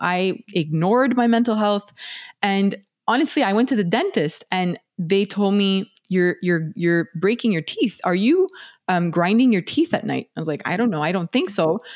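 Lively intonation colors a plain, everyday voice that moves at a moderate pace. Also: woman. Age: 40s. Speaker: neuroscientist and podcast host. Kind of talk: casual interview chat.

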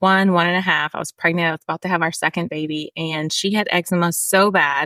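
A woman's medium-pitched, bright and sharp voice with ordinary pitch variation, in a dry, close sound with no echo and a very clean recording over a silent background. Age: 30s. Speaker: skincare company founder. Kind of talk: interview.

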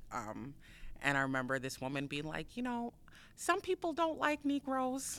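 In an American accent, a woman speaks at a moderate pace with a fairly high pitch and very wide pitch swings. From US Midwest. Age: 40s. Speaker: author and artist. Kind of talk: casual chat.

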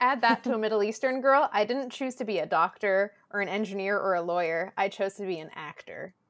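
On a very clean recording with a silent background, a woman in a Southern California accent talks at a fairly quick pace and a medium pitch, with ordinary pitch variation and hardly any pauses. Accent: Southern Californian American English. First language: Spanish. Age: 20s. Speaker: actor and content creator. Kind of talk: casual podcast interview. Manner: loud.

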